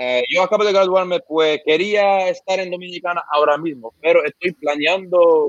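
At a moderate pace, a man speaks with a fairly high pitch in a dry, close sound with no echo. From Lebanon. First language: Arabic (speaking Spanish). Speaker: YouTuber reacting to Latin urban music. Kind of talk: casual interview. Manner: halting.

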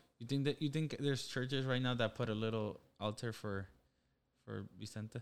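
With an ordinary speaking voice, a man talks at a moderate pace and medium pitch, keeping his intonation fairly even. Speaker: podcast co-host. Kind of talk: casual chat.

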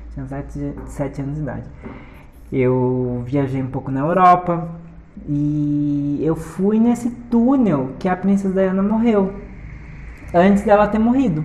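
With audible room echo, a woman speaks fairly slowly in an animated tone, leaving long, frequent pauses. Her pitch swings very widely. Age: 30s. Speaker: podcast host. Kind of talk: casual monologue. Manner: halting.

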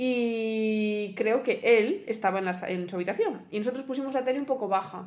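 A woman with a plain, everyday voice speaks at a moderate pace. Her pitch is fairly high, with ordinary variation. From El Bierzo, León, Spain. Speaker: podcast co-host. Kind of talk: casual chat.

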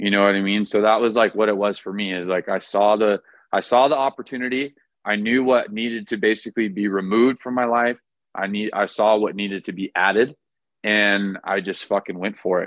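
With a Californian accent, a man speaks at a fairly quick pace. His pitch is fairly low and his intonation fairly even. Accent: Californian American. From Orange County, California. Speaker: fitness coach. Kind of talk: casual interview.

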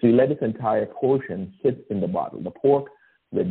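A man speaks with a Guyanese accent. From Guyana. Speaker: storyteller sharing a holiday memory. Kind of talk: personal anecdote, recipe description.

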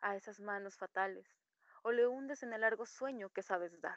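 A woman talks at a moderate pace in a medium pitch with a bright, sharp tone and ordinary pitch variation, the sound dry and close with no echo. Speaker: poetry reader. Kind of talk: poetry reading. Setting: video call.

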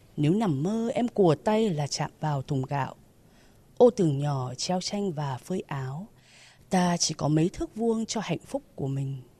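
A woman's somewhat breathy voice, fairly low in pitch, carries a dark, mellow tone. Her intonation is lively, and the sound is dry and close with no echo. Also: fairly slow pace, quiet background. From Hanoi, northern Vietnam. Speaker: university teacher. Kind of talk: poetry reading and personal sharing. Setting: outdoors.

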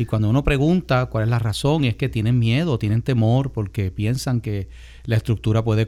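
A man speaks in an unremarkable speaking voice at medium pitch. His pace is moderate and his pitch variation ordinary. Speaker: radio host and pastor. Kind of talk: radio talk show.

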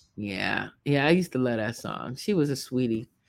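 A woman talks with lively intonation on a very clean recording with a silent background. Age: 50s. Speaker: podcast host. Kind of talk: casual commentary. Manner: rambling conversational.

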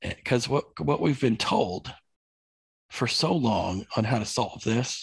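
At a very slow pace, a man speaks somewhat breathily at a medium pitch, with lively intonation and very even loudness. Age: 40s. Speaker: livestock farmer. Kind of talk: interview conversation.

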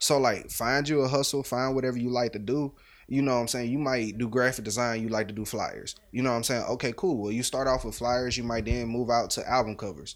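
A man speaks at a fairly quick pace with hardly any pauses, using an ordinary speaking voice at a medium pitch. His intonation stays fairly even, and the recording is very clean with a silent background. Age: 20s. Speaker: recent graduate and entrepreneur. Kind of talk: casual chat.

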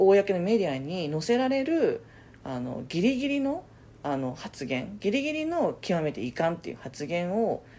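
This woman's voice sits at a medium pitch with a dark, mellow tone and very wide pitch swings, at a moderate pace. The recording is very clean, with a silent background. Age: 30s. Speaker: podcast co-host. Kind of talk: casual chat. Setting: recording in person together.

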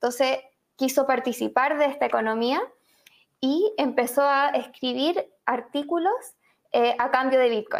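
Fairly slow speech from a woman with a Chilean accent, very even in loudness, with ordinary pitch variation and long, frequent pauses. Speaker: journalist and author. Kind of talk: interview. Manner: hesitant, many fillers.

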